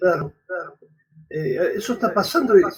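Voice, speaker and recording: A man speaks at a fairly slow pace, his voice pitched high and his intonation lively. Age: 70s. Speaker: priest and radio host. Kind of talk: interview conversation.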